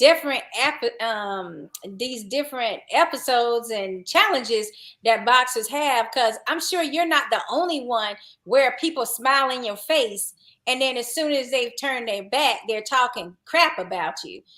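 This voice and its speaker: A woman with a Southern accent speaks at a fairly slow pace and a high pitch, her bright, sharp tone shaped by lively intonation in a very clean recording with a silent background. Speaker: boxing podcast host, color commentator. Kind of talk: casual chat.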